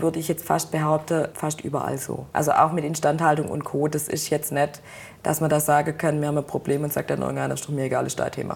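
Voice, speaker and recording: Very fast and monotone, a woman talks with a very deep, low pitch and vocal fry. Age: 20s. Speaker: production supervisor in car manufacturing. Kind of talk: interview.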